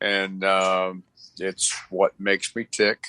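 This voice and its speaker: The man's tone is bright and sharp, with a dry, close sound and no echo. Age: 60s. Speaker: race car driver. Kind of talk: casual chat. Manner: halting.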